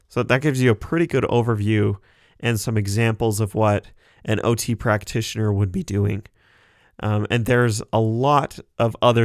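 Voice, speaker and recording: A man with an Idaho accent speaks at medium pitch and a moderate pace, with fairly even intonation. The sound is dry and close with no echo, on a very clean recording with a silent background. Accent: American (Idaho). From US, southeast Idaho. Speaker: podcast host, occupational therapy assistant student. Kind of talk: solo educational podcast. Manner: casual with frequent fillers and repetitions.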